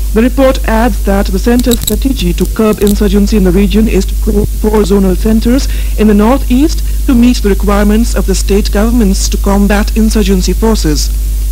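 A woman speaks at a moderate pace with a very deep, low pitch and monotone, flat intonation, leaving hardly any pauses. Light background noise can be heard. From India. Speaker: radio announcer. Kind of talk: radio news review read. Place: studio. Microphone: old recording.

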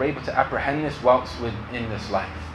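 Over noticeable background noise, a man speaks at a moderate pace with ordinary pitch variation. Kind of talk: lecture interpretation. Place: home room.

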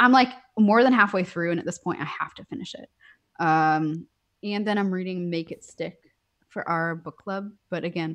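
A woman with an American accent talks at a moderate pace, with ordinary pitch variation and big swings in loudness, against a quiet background. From US Northeast. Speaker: software engineer; podcast guest. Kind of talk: casual interview. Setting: video call. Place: home room.

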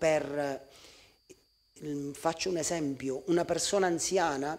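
A man with a Sicilian accent. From Sicily. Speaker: pastor. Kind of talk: sermon; sermon-style talk to camera. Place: church.

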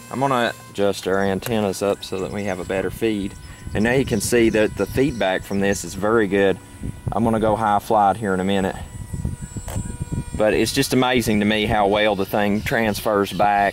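A man at a fairly low pitch and moderate pace, fairly even in intonation, dry with no echo and with music in the background. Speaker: hobbyist pilot demonstrating drone. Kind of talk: tutorial commentary. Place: open country.

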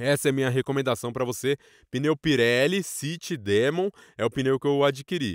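The voice moves at a moderate pace with lively intonation, recorded with a dry, close sound and no echo. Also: man. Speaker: commercial voice-over announcer. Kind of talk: casual motovlog talk to camera.

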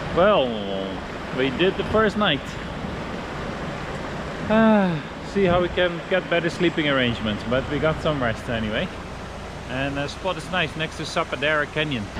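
There is noticeable background noise behind a man speaking at a moderate pace. The sound is dry with no echo, and he takes long, frequent pauses. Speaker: family travel vlogger. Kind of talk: casual vlog chat. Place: forest. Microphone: phone near.

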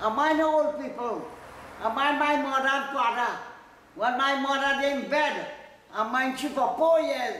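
Speaking at a fairly slow pace and an extremely high pitch, a man with a Trinidadian accent is heard with audible room echo and light background noise. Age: 80s+. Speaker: elderly interviewee. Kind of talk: interview answer. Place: home room.

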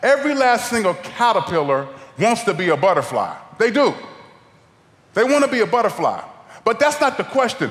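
With an American accent, a man speaks in an animated tone at an extremely high pitch and a fairly quick pace, his pitch swinging very widely and his loudness very even, broken by long, frequent pauses. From Ohio. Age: 40s. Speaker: guest preacher. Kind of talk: sermon. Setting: church. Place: church. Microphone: headset.

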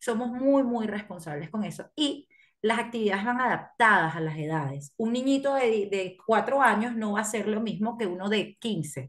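Speaking at a moderate pace with hardly any pauses, a woman uses lively intonation and a fairly high, somewhat breathy voice against a quiet background. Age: 30s. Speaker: camp director. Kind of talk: radio interview. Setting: video call. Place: home room. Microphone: video call.

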